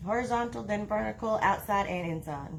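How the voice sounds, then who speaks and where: In an American accent, a woman speaks with a very deep, low pitch, and audible room echo surrounds her voice. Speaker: wreath-making crafter. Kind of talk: live-stream craft tutorial. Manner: halting, stops mid-sentence.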